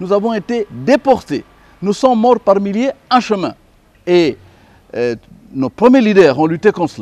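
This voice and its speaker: A man's high-pitched voice with very wide pitch swings and long, frequent pauses. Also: dry, close sound with no echo. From DR Congo. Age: 60s. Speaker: lawyer and commentator. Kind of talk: interview. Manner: hesitant, many fillers.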